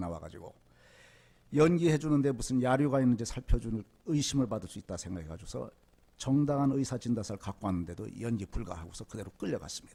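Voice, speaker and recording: Speaking at a very fast pace, a man with a dark, mellow tone and medium pitch swings very widely in pitch. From rural South Korea. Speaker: lay preacher, former prosecutor. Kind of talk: sermon with personal testimony.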